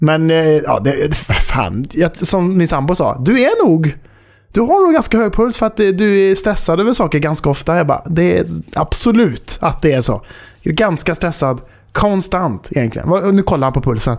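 A man with a high pitch sounds animated, with lively intonation. He keeps a moderate pace and very even loudness. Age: 30s. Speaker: podcast host. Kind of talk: casual chat. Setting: Discord voice call.

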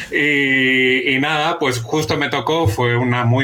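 A man talks at a very slow pace, his intonation fairly even throughout. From Chile. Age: 40s. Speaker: journalist and author. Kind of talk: interview.

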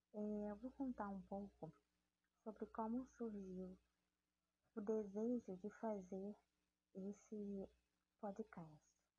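A woman speaks at a very slow pace and medium pitch, somewhat breathy. Her intonation is fairly even, with long, frequent pauses. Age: 30s. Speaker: evangelical podcaster. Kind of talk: devotional talk.

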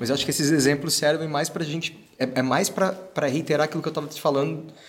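This male speaker has a rather high voice with some breathiness to it. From Brazil, interior of Paraná. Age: 30s. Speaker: actor and singer. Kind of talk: casual chat.

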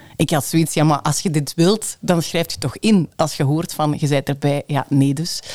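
A dark, mellow tone with ordinary pitch variation carries this voice, which runs with hardly any pauses. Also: woman, very deep, low pitch for a woman, moderate pace. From Limburg, Belgium. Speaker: radio presenter and station manager. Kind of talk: interview conversation.

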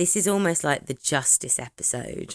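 With a British accent, a woman talks in an animated tone at a fairly slow pace and a fairly low pitch, the sound dry and close with no echo. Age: 30s. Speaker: true crime podcast co-host. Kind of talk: casual chat. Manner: animated, laughing often.

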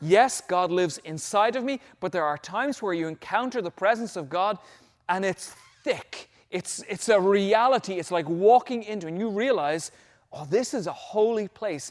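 An Irish accent with ordinary pitch variation. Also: man, high pitch for a man, moderate pace, very clean recording, silent background. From Ireland. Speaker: pastor. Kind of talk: sermon. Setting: church.

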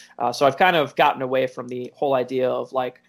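A man with a plain, everyday voice at medium pitch is heard in a very clean recording with a silent background. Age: 20s. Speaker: powerlifter and powerlifting coach. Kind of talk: casual interview.

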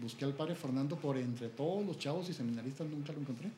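A man's fairly high-pitched voice with ordinary pitch variation, plus audible room echo. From Mexico, Chihuahua. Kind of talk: interview testimony. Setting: at his home.

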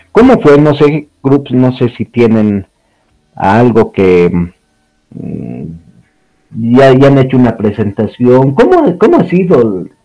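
A man at medium pitch with lively intonation, very slow delivery and long, frequent pauses. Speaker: podcast co-host. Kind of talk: casual chat.

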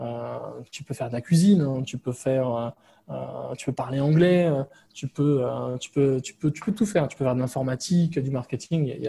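A man speaks in a normal speaking voice at a moderate pace. His pitch is medium, with ordinary variation. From France. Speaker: digital nomad and IT security entrepreneur. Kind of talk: casual interview.

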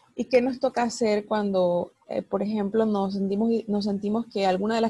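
Recorded dry and close with no echo, a woman speaks at a moderate pace with a medium pitch, a dark, mellow tone, a somewhat breathy quality and monotone, flat intonation. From Latin America. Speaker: psychologist and life coach, podcast host. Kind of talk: interview.

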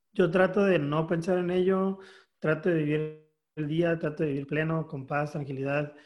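This man has an ordinary speaking voice, pitched fairly high. He talks at a moderate pace with fairly even intonation. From Mexico, Mexicali, Baja California. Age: 30s. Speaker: photographer. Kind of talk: interview. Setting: video call.

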